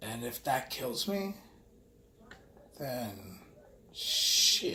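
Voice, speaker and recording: Against noticeable background noise and audible room echo, a man with an American accent speaks with very wide pitch swings. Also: medium pitch for a man. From New York. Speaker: vlogger. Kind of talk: casual monologue. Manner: halting.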